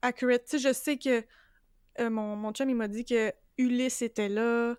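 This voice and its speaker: With a Quebec accent, a woman speaks at a fairly slow pace with high pitch and monotone, flat intonation, in a dry, close sound with no echo and a very clean recording over a silent background. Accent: Québécois French. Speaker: podcast co-host, book club. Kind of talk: casual chat.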